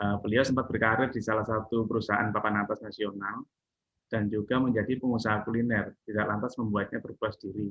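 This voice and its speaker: A man's very fast, monotone, flat delivery at a fairly low pitch. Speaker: talk show host. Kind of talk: interview host.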